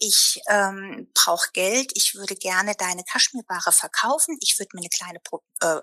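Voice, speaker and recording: A woman's bright, sharp tone with lively intonation at a moderate pace, in a dry, close sound with no echo. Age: 50s. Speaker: fashion sales entrepreneur. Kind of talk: casual interview. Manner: talkative, many fillers.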